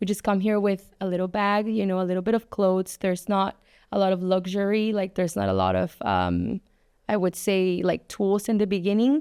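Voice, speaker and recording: The speaker has a slight Spanish accent, a dark, mellow tone and monotone, flat intonation at a moderate pace. The recording is very clean with a silent background and a dry, close sound with no echo. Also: woman. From Mexico City. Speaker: advertising agency owner and influencer. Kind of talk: podcast interview.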